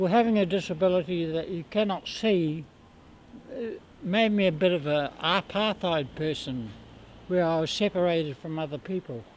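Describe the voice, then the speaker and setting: Speaking in a New Zealand accent, a man keeps a moderate pace. His pitch is high, with ordinary pitch variation. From New Zealand, Palmerston North. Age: 60s. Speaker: street juggler. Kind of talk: interview. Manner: halting.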